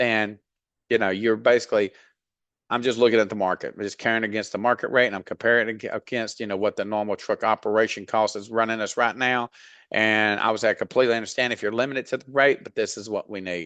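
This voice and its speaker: A man with a Southern US accent races along at a very fast pace in a monotone, flat delivery with a bright, sharp tone, over a quiet background in a dry, close sound with no echo. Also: medium pitch for a man. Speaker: freight dispatch trainer. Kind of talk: tutorial. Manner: casual, many fillers.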